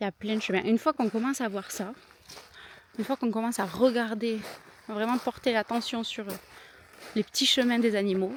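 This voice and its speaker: With a southern French accent, a woman speaks at a fairly quick pace and a fairly high pitch, using ordinary pitch variation and long, frequent pauses, in a dry, close sound with no echo. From southern France. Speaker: vlogger. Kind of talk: casual vlog narration. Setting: outdoors.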